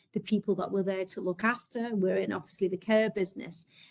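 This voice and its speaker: The speaker's voice is somewhat breathy, with a Liverpool accent. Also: woman. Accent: Scouse. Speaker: healthcare executive. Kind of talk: webinar presentation.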